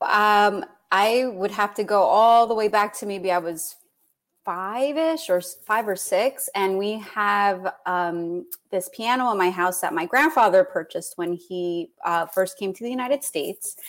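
A woman speaks with an American accent in an ordinary speaking voice at a medium pitch. Her pitch varies in an ordinary way on a very clean recording with a silent background. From New York City (Queens). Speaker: children's author. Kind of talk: casual interview.

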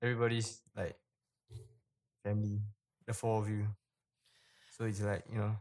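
A man speaks in a flat monotone at a fairly low pitch, with long, frequent pauses. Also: moderate pace. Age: 20s. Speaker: father, podcaster. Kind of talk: casual chat. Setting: remote recording from home.

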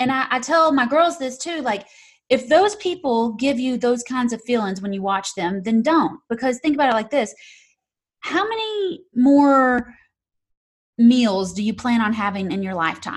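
On a very clean recording with a silent background, a woman with a high pitch and a Southern US accent speaks at a moderate pace with very wide pitch swings. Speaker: real estate investor and YouTube creator. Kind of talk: interview.

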